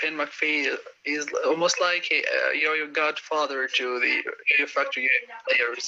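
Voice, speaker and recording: Noticeable background noise runs through the clip. The man's delivery moves at a moderate pace. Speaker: yo-yo community host. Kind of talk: live stream interview.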